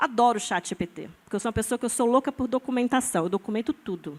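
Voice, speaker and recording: A woman talks very fast at a high pitch with ordinary pitch variation, the sound dry and close with no echo. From Brazil, born in Amazonas, lived in many regions, settled in São Paulo. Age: 40s. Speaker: scientist and biohacker artist, panelist. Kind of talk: panel discussion. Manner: animated, casual with fillers and repetitions.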